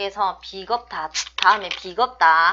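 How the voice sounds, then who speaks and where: In a strong Busan accent, a woman talks at a medium pitch with ordinary pitch variation. Her tone is bright and sharp. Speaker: fortune teller / saju teacher. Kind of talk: online lecture. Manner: strong, blunt tone.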